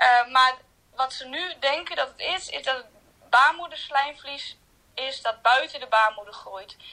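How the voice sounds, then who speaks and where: A woman's raised, projected voice, high in pitch, at a fairly slow pace with ordinary pitch variation. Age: 20s. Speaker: hospital ward assistant with a chronic illness. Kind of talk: personal testimony interview. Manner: hesitant, many fillers.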